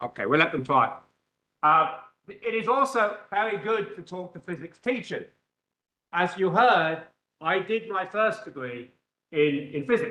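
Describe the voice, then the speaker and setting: A raised, projected voice with an English accent and a bright, sharp tone moves at a fairly slow pace. The intonation is lively, broken by long, frequent pauses. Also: man, high pitch for a man. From England. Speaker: physics professor. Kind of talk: lecture. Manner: loud; animated.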